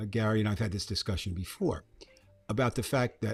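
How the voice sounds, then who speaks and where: A man with an American accent speaks at a moderate pace in a fairly low, somewhat breathy voice. The recording is very clean, with a silent background. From New Jersey. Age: 70s. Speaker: podcast co-host, retired educator. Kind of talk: casual political chat.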